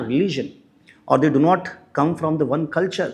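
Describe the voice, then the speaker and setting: Speaking at a moderate pace in a Marathi accent, a man uses a fairly high voice with vocal fry. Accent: Indian English, Marathi. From India, Maharashtra. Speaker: English professor. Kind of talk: lecture.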